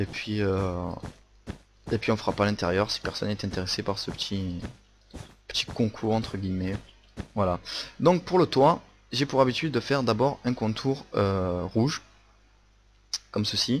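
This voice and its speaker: With a Marseille accent, a man speaks at a fairly slow pace with ordinary pitch variation and long, frequent pauses. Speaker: Minecraft video creator. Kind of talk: tutorial. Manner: hesitant, many fillers.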